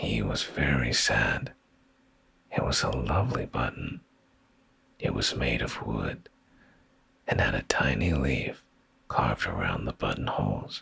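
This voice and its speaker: Whispered words from a man, fairly slow, broken by long and frequent pauses, noticeable noise behind him. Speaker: vtuber. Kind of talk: bedtime story reading. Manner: soft-spoken, slow.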